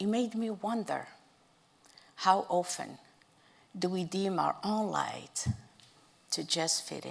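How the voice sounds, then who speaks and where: This speaker has a non-native accent and a very slow pace. Long, frequent pauses break up the fairly even intonation. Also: woman, medium pitch for a woman. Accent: foreign. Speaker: storyteller. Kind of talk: speech to an audience.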